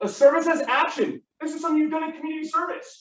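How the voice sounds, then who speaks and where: Fairly quick pace from a man. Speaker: teacher. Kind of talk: classroom lecture. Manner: fast.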